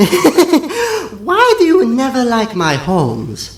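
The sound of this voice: Putting on a squeaky character voice at an extremely high pitch, a man speaks at a very slow pace.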